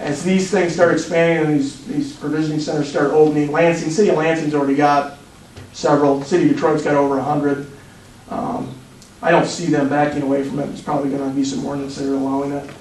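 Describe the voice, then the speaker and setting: A man talks very fast at a fairly high pitch, with ordinary pitch variation. Room echo is audible, and there is noticeable background noise. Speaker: police drug expert giving presentation. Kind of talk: presentation to city council. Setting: council meeting.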